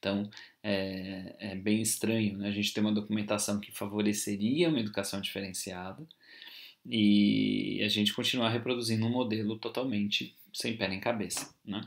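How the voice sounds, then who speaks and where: At a moderate pace, a man with a Brazilian accent talks in a fairly low pitch with fairly even intonation. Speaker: university lecturer. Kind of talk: lecture. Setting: recorded video class. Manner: informal, hesitant with fillers.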